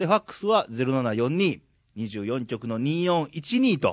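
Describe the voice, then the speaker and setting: Here a man's pitch swings very widely. The background is quiet. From Ehime, Japan. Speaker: podcast host. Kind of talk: casual chat.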